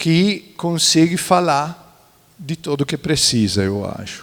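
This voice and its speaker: Speaking at a very slow pace, the man has a fairly high pitch and an Italian accent. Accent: Italian-accented Brazilian Portuguese. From central Italy, near Florence. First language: Italian (speaking Portuguese). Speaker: architect and museologist. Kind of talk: panel talk. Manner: halting, many fillers.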